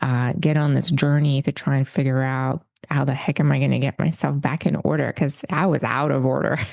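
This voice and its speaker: Speaking at a fairly quick pace with hardly any pauses, a woman uses a very deep, low pitch, vocal fry, fairly even intonation and very even loudness. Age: 40s. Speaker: wellness leader and retreat host. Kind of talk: interview conversation.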